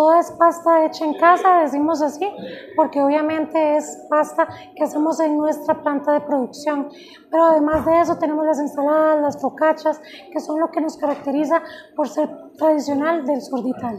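With faint background noise, a woman speaks high-pitched with little pitch movement and few pauses. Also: moderate pace.

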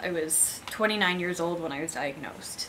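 A woman keeps a moderate pace and ordinary pitch variation while noticeable background noise continues behind her. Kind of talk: personal vlog testimony. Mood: candid, sometimes wry laughter. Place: home room.

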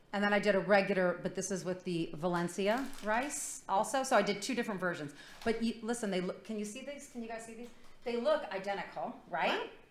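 A fairly quick woman's voice with ordinary pitch variation, big swings in loudness and audible room echo. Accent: American. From Michigan. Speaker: food segment contributor; talk show guest. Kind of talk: casual chat. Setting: studio. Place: studio.

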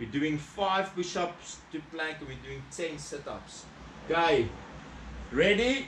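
A man speaks at a high pitch. Audible room echo and light background noise surround his voice. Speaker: fitness instructor. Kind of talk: workout instruction. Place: garage. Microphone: camera far.

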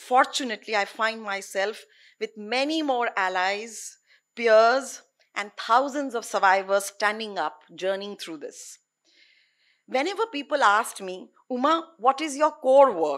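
Against a quiet background, a woman speaks at a moderate pace with a fairly high pitch. Her loudness swings widely. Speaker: anti-trafficking activist. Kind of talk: conference talk. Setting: stage with audience. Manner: earnest. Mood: earnest, reflective. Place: stage. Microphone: podium.

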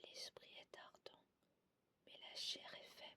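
Someone whispers in a soothing tone at a very slow pace. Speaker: ASMR channel host. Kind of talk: ASMR whispered scripture reading. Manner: whispered, soothing.

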